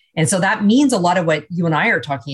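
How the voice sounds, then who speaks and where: A woman with a Canadian accent speaks at a fairly quick pace. Her voice is somewhat breathy. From Canada. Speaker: business executive and leadership speaker. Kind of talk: radio interview.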